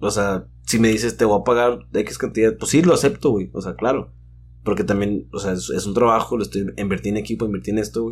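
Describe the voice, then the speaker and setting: A man with a fairly low pitch and vocal fry swings very widely in pitch as he talks. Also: fairly quick pace. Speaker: DJ. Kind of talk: casual chat.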